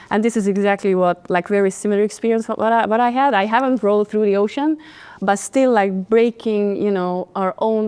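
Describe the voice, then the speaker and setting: A woman with a Hungarian accent speaks at medium pitch and a moderate pace. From Hungary. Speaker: podcast host, confidence coach. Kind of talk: interview, casual chat. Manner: animated.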